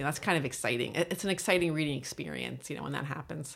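The speaker has an American accent. There is vocal fry in the voice. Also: woman. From US South, Virginia. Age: 50s. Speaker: novelist and professor. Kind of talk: casual interview conversation. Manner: halting, stuttering, repeats words.

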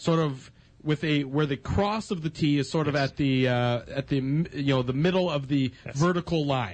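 A man's somewhat breathy, fairly high voice at a moderate pace, with ordinary pitch variation and very even loudness. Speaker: radio host. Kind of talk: sports radio talk show. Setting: studio.

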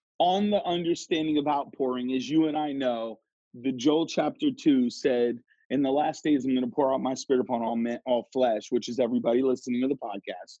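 Speaking at a fairly quick pace, a man with an unremarkable speaking voice keeps to a medium pitch with ordinary pitch variation. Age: 30s. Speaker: pastor and author. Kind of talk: interview, teaching style.

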